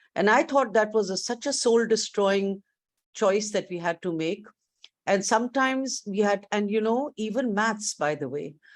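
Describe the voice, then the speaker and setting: A woman with a plain, everyday voice, fairly high in pitch, at a moderate pace with ordinary pitch variation, on a very clean recording with a silent background. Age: 60s. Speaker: education leader, keynote speaker. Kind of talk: keynote speech. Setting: virtual conference.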